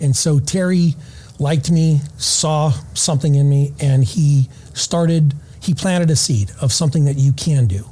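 A fairly high-pitched man's voice, somewhat breathy, with a dark, mellow tone. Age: 50s. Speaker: retired SWAT sniper and former Navy SEAL, firearms instructor. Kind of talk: casual interview. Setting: conference venue recording.

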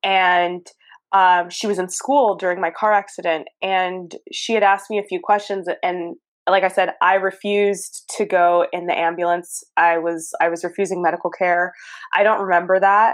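Speaking with an American accent, a woman uses a medium pitch at a moderate pace. The background is quiet. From Southern California. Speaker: podcast host. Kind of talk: casual interview chat. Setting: phone or video call. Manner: animated, expressive.

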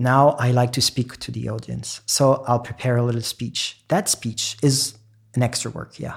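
A man with a French accent talks at a moderate pace in a somewhat breathy, medium-pitched voice with monotone, flat intonation. The recording is very clean, with a silent background. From France. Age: 30s. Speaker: classical pianist. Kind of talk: interview conversation. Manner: hesitant, fillers.

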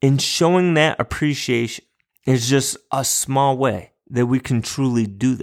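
A man with an unremarkable speaking voice, medium pitch, ordinary pitch variation and a fairly slow pace. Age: 40s. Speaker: podcast host and elementary school teacher. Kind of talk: solo motivational talk. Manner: upbeat, encouraging.

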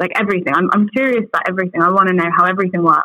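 A woman with an English accent, medium pitch and ordinary pitch variation, in a dry, close sound with no echo. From England, outside London. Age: young. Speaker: advertising agency voice lead. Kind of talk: interview. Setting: remote call with good microphone.

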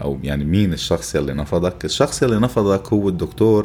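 A man speaks at a moderate pace in a Lebanese accent. His pitch is very deep and low, and his intonation lively. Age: 40s. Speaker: podcast host. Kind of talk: improvised monologue. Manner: animated.

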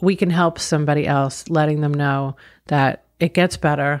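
A woman with a very deep, low voice and an American accent at a fairly slow pace. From Long Island, New York. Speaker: business owner and author. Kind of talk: interview.

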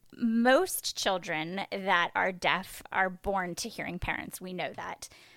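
A woman talks at a fairly slow pace at a medium pitch. Hers is an unremarkable speaking voice with ordinary pitch variation. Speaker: podcast host. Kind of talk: casual interview.

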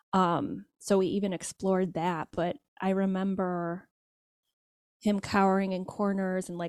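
Here is a woman with a normal speaking voice at a medium pitch and fairly even intonation. The sound is dry and close with no echo, on a very clean recording with a silent background. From Michigan, US. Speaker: social scientist and parenting educator. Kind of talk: interview.

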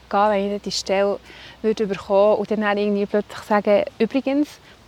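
Delivery comes at a very fast clip. The intonation remains fairly level throughout. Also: woman. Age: 40s. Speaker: breast cancer survivor, office assistant. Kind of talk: interview, personal story. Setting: outdoors by a lake.

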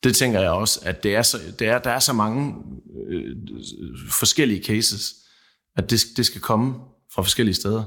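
The voice has a bright, sharp tone with vocal fry and ordinary pitch variation, moving at a moderate pace broken by long, frequent pauses. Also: man, medium pitch for a man. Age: 30s. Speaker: seed grower. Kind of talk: panel discussion. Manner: halting.

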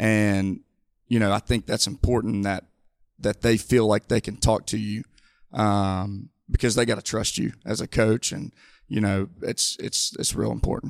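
With an Alabama accent, a man speaks in a fairly low pitch with monotone, flat intonation. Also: moderate pace, dry, close sound with no echo. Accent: Southern US (Alabama). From US South, Mobile, Alabama. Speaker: high school coach. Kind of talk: casual interview. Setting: studio.

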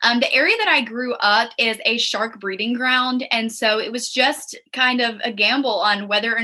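Hardly pausing, a woman with an American accent speaks at a fairly high pitch and with fairly even intonation over noticeable background noise. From South Carolina Lowcountry (Hilton Head Island). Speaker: beauty pageant titleholder and nonprofit founder. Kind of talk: interview.

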